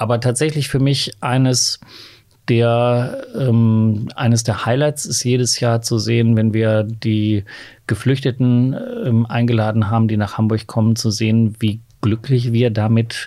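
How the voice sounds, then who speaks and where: A man's dark, mellow, medium-pitched voice, monotone and flat, with very even loudness. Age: 50s. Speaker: LGBT rights activist, association chair. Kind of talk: podcast interview.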